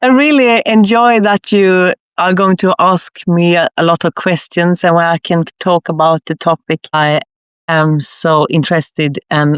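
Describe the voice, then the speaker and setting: In a Swedish accent, a woman speaks at a fairly slow pace with a fairly low pitch, ordinary pitch variation and very even loudness. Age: 60s. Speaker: leadership consultant, former nurse. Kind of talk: podcast interview.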